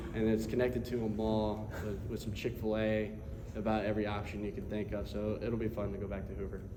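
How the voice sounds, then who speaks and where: Noticeable background noise and audible room echo surround a man who speaks fairly quickly. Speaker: college baseball pitcher. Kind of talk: press conference. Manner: halting.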